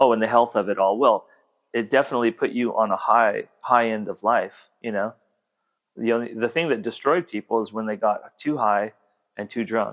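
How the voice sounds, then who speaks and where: This man's voice sits at a medium pitch and rises and falls with ordinary pitch variation. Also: moderate pace. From Southern California. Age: 60s. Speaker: artist and musician. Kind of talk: casual chat. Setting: at home.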